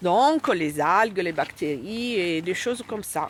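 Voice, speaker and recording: A woman with an Italian accent talks with very wide pitch swings. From Italy. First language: Italian (speaking French). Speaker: scientist. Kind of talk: explaining to children.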